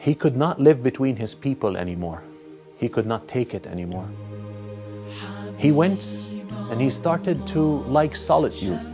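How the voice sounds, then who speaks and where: A man with very wide pitch swings and long, frequent pauses, over music in the background. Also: medium pitch for a man, moderate pace. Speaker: imam, Islamic scholar. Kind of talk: religious lecture, narrating a story to camera.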